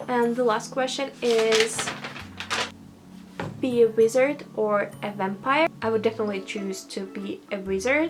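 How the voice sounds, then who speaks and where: A woman's fairly high voice in a Russian accent, at a fairly slow pace with ordinary pitch variation, amid audible room echo and noticeable background noise. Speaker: vlogger. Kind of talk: casual monologue, accent challenge. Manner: halting, many fillers.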